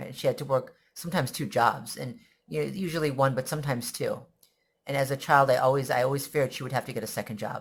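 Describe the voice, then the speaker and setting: The recording is very clean and the background silent. Words come at a very fast pace. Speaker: vlogger sharing personal story. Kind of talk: personal testimony monologue. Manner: halting, with repetitions.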